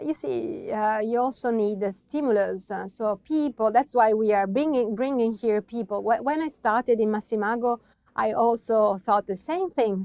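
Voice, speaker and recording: Speaking with an Italian accent and hardly any pauses, a woman with a fairly high pitch and a dark, mellow tone talks at a moderate pace with ordinary pitch variation, in a dry, close sound with no echo. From Italy, Veneto (Verona, Valpolicella). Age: young. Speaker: wine producer. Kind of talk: interview. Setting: at the winery estate. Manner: halting, with many fillers.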